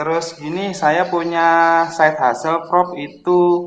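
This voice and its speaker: A man's high-pitched voice at a very slow pace. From East Java (Kediri). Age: 30s. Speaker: caller, civil servant. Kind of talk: call-in consultation. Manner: halting.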